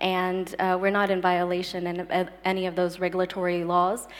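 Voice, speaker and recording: This woman has an American accent and a medium pitch. She talks at a moderate pace. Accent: very American. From United States. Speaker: startup sales director. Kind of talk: panel discussion. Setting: stage with audience.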